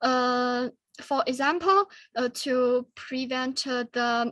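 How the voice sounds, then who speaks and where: Speaking very slowly in a Chinese accent, a high-pitched woman is heard in a dry, close sound with no echo on a very clean recording with a silent background. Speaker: student forum presenter. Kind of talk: Q&A discussion. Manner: halting.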